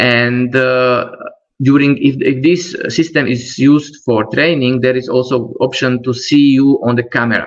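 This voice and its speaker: A man with a non-native accent, medium pitch, fairly even intonation and a fairly slow pace. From Slovakia. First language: Slovak. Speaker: trainer. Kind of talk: webinar presentation. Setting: online webinar. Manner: halting.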